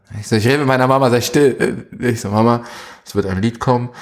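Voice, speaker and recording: This man talks at a moderate pace. His medium pitch shows ordinary variation. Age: young. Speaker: music industry manager. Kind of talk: interview.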